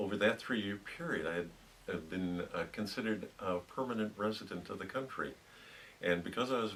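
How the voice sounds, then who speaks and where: A man with an American accent at a fairly low pitch and fairly quick pace, with ordinary pitch variation and noticeable background noise. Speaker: retired pharmacologist. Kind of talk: oral history interview answer.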